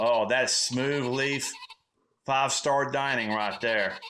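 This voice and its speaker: Very slow, medium-pitched speech from a man with a Southern US accent, fairly even intonation and long, frequent pauses. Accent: Southern American. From Southern United States. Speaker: comedic storyteller. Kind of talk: comedic monologue, casual story to camera.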